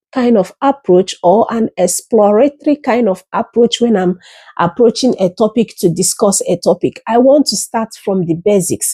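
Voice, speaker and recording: Dark and mellow in tone, the voice moves at a fairly slow pace with lively intonation, captured in a very clean, silent recording with a dry, close sound and no echo. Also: woman. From Africa. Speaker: YouTuber and educator. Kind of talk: casual monologue. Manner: explanatory, teacherly.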